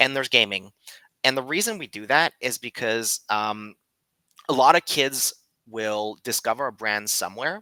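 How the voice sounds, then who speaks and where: The voice has a bright, sharp tone, a moderate pace, ordinary pitch variation and big swings in loudness, with a dry, close sound and no echo. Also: man, medium pitch for a man. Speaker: creative director and co-founder of an animation brand. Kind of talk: presentation talk. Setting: live stream. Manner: animated.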